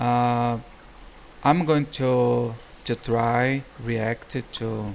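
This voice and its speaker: Speaking very slowly, a man with a medium-pitched voice talks in a strong Brazilian accent. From Brazil or Portugal. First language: Portuguese. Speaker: YouTube reactor. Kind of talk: casual video commentary. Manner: halting, many restarts.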